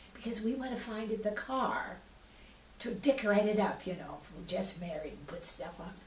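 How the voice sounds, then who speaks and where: Audible room echo and noticeable background noise surround a woman with an American accent. She talks at a moderate pace with ordinary pitch variation. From US Pacific Northwest (Washington, Idaho). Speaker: retired artist, oral history interviewee. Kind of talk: oral history interview. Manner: halting, with restarts and fillers.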